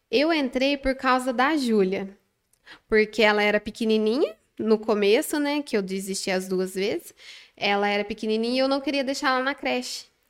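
At a moderate pace, a normal speaking voice with ordinary pitch variation comes through in a very clean recording with a silent background. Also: woman, fairly high pitch for a woman. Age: 20s. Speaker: manicure and nail instructor. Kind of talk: casual interview. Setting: studio.

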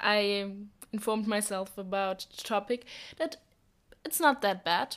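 A woman speaks at a very slow pace in a German accent. The recording is very clean, with a silent background. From Germany. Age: young. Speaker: volunteer. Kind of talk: podcast interview. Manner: halting.

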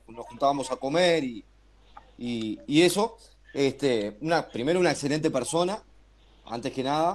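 The speech has long, frequent pauses and ordinary pitch variation. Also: man, fairly high pitch for a man, moderate pace. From Uruguay. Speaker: basketball radio presenter. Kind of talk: casual chat.

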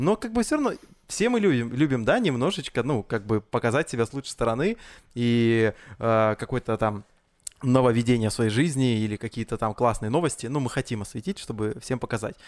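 A plain, everyday voice from a man at medium pitch, fairly quick in pace with ordinary pitch variation, on a very clean recording with a silent background and a dry, close sound with no echo. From Russian Far East (Blagoveshchensk). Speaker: event host and podcast host. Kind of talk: casual chat.

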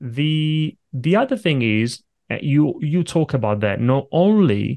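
A man with an Italian accent, dry and close with no echo, over a quiet background. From Italy. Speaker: podcast host. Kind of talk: podcast interview. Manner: halting, repeats words.

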